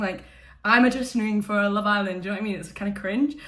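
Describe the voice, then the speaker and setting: A woman speaks loudly in an Edinburgh accent, her tone bright and sharp. Audible room echo surrounds her voice. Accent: Scottish (Edinburgh). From Scotland, Edinburgh. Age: 20s. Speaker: YouTuber, reality TV contestant. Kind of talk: casual vlog chat. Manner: loud, animated.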